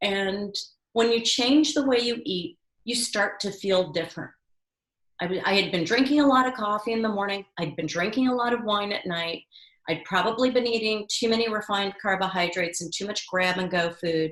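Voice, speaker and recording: A woman talks at a fairly quick pace with ordinary pitch variation. She has an ordinary speaking voice. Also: medium pitch for a woman. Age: 60s. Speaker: culinary educator and author. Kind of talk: interview.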